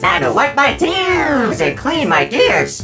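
In a put-on character voice, a man speaks slowly at an extremely high pitch with very wide pitch swings, vocal fry and a bright, sharp tone. The sound is robotic and processed, with faint music in the background.

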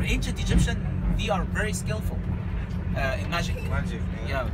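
Loud background noise sits behind speech at a very fast pace. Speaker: tour guide. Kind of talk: guided tour explanation. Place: bus. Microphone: camera far.

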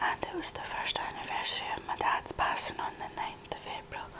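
A woman whispers, soft-spoken and in a sad tone, over noticeable background noise. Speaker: crafting vlogger. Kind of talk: casual vlog chat. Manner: soft whisper, sad personal news. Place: home room. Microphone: phone near.

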